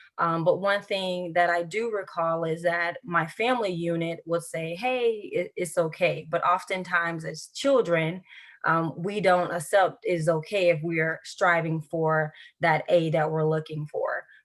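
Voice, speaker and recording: With a Southern US accent, a woman speaks at a fairly slow pace in a fairly low pitch, her intonation fairly even. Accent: Southern US country. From US South, central Florida (Highlands County). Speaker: educator with a doctorate, interview guest. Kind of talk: interview.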